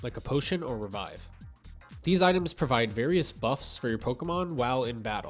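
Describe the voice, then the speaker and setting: With music playing in the background, a man's pitch swings very widely. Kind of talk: gaming commentary narration.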